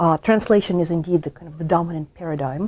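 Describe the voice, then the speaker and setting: Her voice dark and mellow, a woman speaks at a fairly low pitch with ordinary pitch variation. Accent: Russian. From Russia. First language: Russian. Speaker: history professor. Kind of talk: interview. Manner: halting, many fillers.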